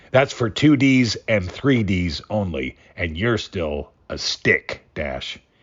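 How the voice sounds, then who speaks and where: A man puts on a raspy character voice at a fairly low pitch. He speaks at a very slow pace. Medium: read story. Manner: folksy, slangy, chuckling.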